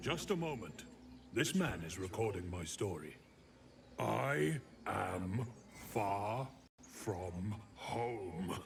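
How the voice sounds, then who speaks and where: A put-on character voice speaks at a very slow pace with long, frequent pauses, over clear background noise. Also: man, fairly low pitch for a man. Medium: video game. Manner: plaintive, earnest.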